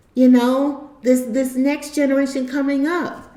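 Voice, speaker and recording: Over noticeable background noise and audible room echo, a woman with a high voice speaks at a moderate pace. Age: 60s. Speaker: YouTube commentator. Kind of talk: monologue vlog. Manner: halting; earnest.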